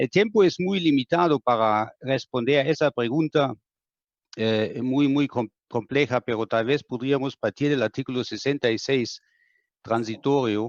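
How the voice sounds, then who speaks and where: With a German accent, the speaker talks at a fairly slow pace and ordinary pitch variation, in a dry, close sound with no echo over a quiet background. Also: man, medium pitch for a man. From Germany. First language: German (speaking Spanish). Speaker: law professor. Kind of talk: panel discussion. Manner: halting.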